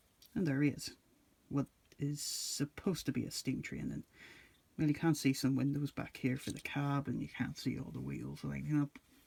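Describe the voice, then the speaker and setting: The voice is quiet. It moves at a moderate pace. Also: man. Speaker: toy reviewer. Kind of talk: casual review talk to camera.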